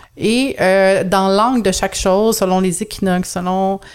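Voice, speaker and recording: A Quebec accent with monotone, flat intonation. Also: woman. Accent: Québécois French. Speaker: astrologer and personal development consultant. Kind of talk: podcast interview. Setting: video call.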